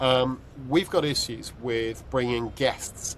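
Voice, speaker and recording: A man with a British accent against noticeable background noise. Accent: UK. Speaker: podcast host. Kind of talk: casual chat. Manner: halting, many fillers.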